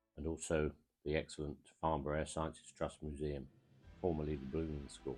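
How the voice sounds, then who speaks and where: A man's very deep, low voice at a fairly quick pace, with fairly even intonation and music in the background. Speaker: aviation history video narrator. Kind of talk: documentary narration.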